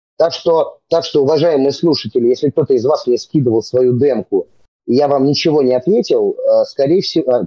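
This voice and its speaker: Lively intonation runs through a man's ordinary speaking voice. He keeps a moderate pace. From Moscow region, Russia (Serpukhov). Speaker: rapper and comedy theatre actor. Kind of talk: casual chat.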